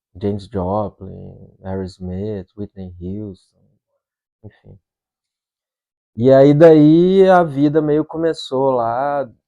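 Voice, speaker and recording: A man with a dark, mellow tone talks very slowly, with long, frequent pauses, very wide pitch swings and big shifts in volume. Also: medium pitch for a man. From Brazil, Belo Horizonte (Minas Gerais). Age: 40s. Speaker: rock musician. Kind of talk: interview. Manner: casual, conversational.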